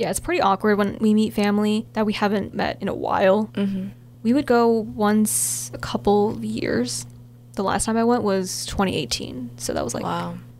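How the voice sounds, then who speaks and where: A woman with an American accent speaks at medium pitch with very wide pitch swings. Background noise is noticeable. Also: moderate pace. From US. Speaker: student podcast co-host. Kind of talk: casual chat.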